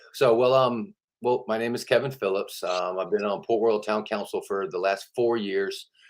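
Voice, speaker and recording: A man talks in an American accent. His fairly low voice has fairly even intonation. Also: moderate pace. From Georgia, US South. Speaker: town councilman and mayoral candidate. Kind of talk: interview. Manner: casual.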